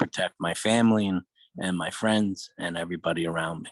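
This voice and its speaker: Dry and close with no echo, a man with a New York accent and a very deep, low pitch talks at a fairly quick pace with fairly even intonation. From New York, Brooklyn. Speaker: podcast co-host. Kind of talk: casual chat.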